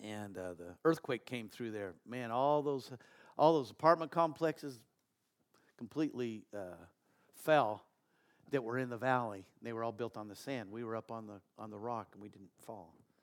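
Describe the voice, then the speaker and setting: The speaker is a man with a medium pitch. His pitch varies in an ordinary way at a moderate pace. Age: 60s. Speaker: pastor. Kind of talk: sermon. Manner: animated; halting.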